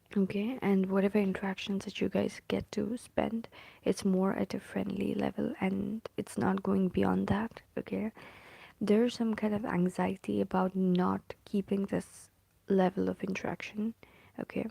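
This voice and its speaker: A soft-spoken voice at a moderate pace. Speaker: tarot reader. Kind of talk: tarot reading. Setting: at home. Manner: hesitant, many fillers.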